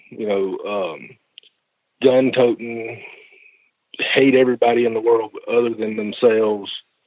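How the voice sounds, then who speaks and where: A man speaks in a Southern US accent with monotone, flat intonation. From US South, Georgia. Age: 40s. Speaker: podcast guest, commenter. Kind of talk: conversation.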